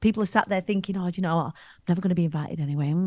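Spoken in a Lancashire accent with ordinary pitch variation, the clip has a quiet background and a dry sound with no echo. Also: woman. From Preston, England; England. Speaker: public speaking coach. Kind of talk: interview answer. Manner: energetic, bombastic. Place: home room. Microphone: studio mic.

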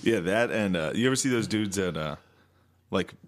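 A man speaks with an American accent at a moderate pace. His pitch is fairly low and varies in an ordinary way. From Pennsylvania, US. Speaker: comedy podcast co-host. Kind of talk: casual chat.

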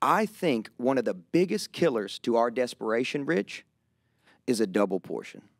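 Over a quiet background, a man with a rural Kentucky accent talks at a moderate pace in an animated tone, his pitch swinging very widely, and the sound is dry with no echo. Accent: rural Southern US (Kentucky). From Kentucky, US South. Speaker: pastor. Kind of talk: casual conversational interview. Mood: earnest, reflective. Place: studio. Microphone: studio mic.

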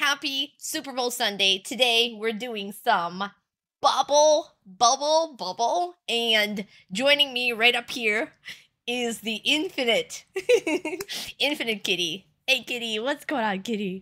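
Speaking very slowly, a woman with a high pitch uses lively intonation and a bright, sharp tone. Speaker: game streamer. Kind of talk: live stream chat. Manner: loud; animated. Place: home room.

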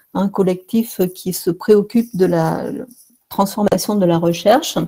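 Over a quiet background, a woman speaks in a dark, mellow tone with fairly even intonation. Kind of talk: lecture. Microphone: webcam.

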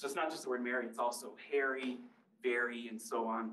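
A man speaks fairly quickly with an American accent. Room echo is audible. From US Midwest. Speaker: linguistics professor. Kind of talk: public lecture. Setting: library talk with live and Zoom audience. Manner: conversational, engages audience with questions. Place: hall.

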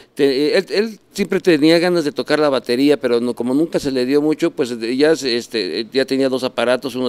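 Medium pitch from a man at a fairly quick pace, with ordinary pitch variation. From Mexico City area; Mexico. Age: 60s. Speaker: rock musician; interviewee. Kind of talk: casual chat. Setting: café. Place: bar. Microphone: handheld.

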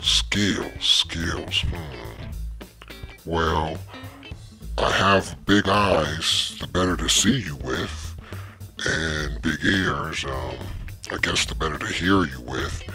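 Over clear background music, a man puts on a cartoonish character voice. It is very deep and low, delivered at a very slow pace. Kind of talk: comic cartoon voice acting. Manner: rambling, sheepish.

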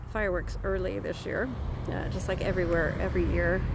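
A woman is speaking in a dry sound with no echo. Noticeable background noise is present. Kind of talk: casual vlog chat. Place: garden. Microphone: phone near.

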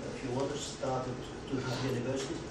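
A man speaks amid loud background noise, with audible echo from the room. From Belgium. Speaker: urban planner. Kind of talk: lecture. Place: meeting room. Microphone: camera far.

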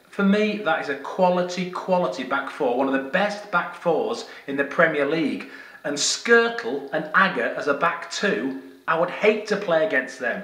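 A man keeps a moderate pace while audible room echo follows his words. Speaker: football fan vlogger. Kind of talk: casual vlog commentary. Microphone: phone near.

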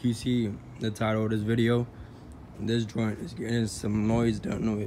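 Long, frequent pauses break up a man's flat, monotone delivery, which has a dark, mellow tone, a moderate pace and light background noise. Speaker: car enthusiast vlogger. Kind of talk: casual vlog chat. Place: street. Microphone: phone near.

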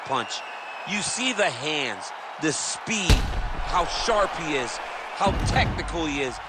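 There is noticeable background noise as a man with a high pitch talks in an energetic tone. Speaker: color commentator. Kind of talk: live sports commentary. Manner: energetic color analyst, explaining technique with enthusiasm.

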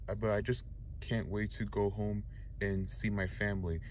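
A man speaks at a fairly slow pace with a very deep, low pitch and very wide pitch swings, the sound dry with no echo but noticeable background noise. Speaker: college student vlogger. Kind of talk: casual vlog chat. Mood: cheerful, grateful. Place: car. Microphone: phone near.

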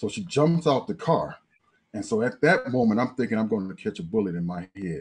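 This man talks with lively intonation. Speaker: guest, professor. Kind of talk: panel discussion storytelling. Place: home room. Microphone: video call.

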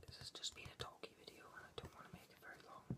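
A man whispers at a very fast pace. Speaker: ASMR creator. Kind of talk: ASMR whispered talk about a comic book. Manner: whispered. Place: home room. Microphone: webcam.

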